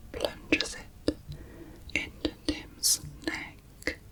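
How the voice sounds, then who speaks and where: Whispering in a calm tone at a very slow pace, a woman is heard over noticeable background noise. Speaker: ASMR true crime narrator. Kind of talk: true crime narration, ASMR. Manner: soft-spoken, calm.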